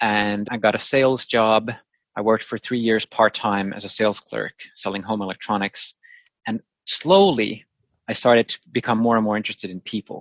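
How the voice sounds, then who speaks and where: With a fairly low pitch and fairly even intonation, the man's delivery keeps a moderate pace. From Finland. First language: Finnish and Swedish. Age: 30s. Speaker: virtual meeting facilitator. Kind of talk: interview.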